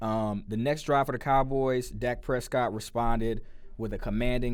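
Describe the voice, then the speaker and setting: A man with an American accent speaks at a moderate pace, with audible room echo. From US Midwest, St. Louis, Missouri. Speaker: sports podcast host. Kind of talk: casual sports commentary podcast. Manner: loud; casual, with many fillers. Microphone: close to the mic, levels being adjusted.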